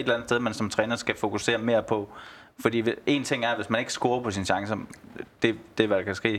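A man's medium-pitched voice moves at a fairly quick pace with fairly even intonation. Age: 30s. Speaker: football fan. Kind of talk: casual chat. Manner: hesitant, repeats words.

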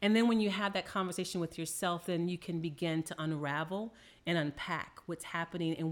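Fairly low in pitch, a woman with an unremarkable speaking voice talks at a fairly quick pace with fairly even intonation on a very clean recording with a silent background. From New Orleans, Louisiana, US South. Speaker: therapist or counselor guest. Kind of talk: casual chat.

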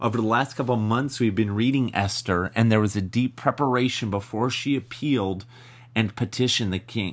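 In an ordinary speaking voice, a man talks at a moderate pace with a medium pitch and ordinary pitch variation. The background is quiet. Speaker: ministry podcast host. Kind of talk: teaching with scripture reading and prayer.

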